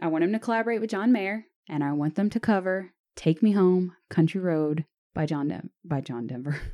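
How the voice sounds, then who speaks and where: A woman's unremarkable speaking voice with an American accent, medium in pitch, fairly quick and lively in intonation. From US South. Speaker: podcast host. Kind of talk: casual banter, music review chat.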